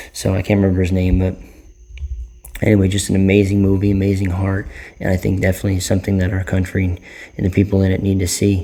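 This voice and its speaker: A quiet man talks at a fairly quick pace with a very deep, low pitch. His tone is dark and mellow, his intonation monotone and flat. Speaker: vlogger, movie reviewer. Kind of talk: casual vlog movie review. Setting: at home late at night. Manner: quiet, subdued to avoid disturbing neighbors; hesitant, many fillers and repetitions.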